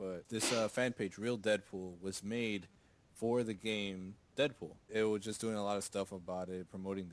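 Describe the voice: The text is given plain reading aloud, with intonation kept fairly even.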